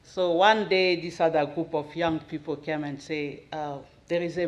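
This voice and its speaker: The speaker has a Central African accent. The pace is fairly slow. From Democratic Republic of the Congo. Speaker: missionary's wife giving testimony. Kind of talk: testimony. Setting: church, at the podium.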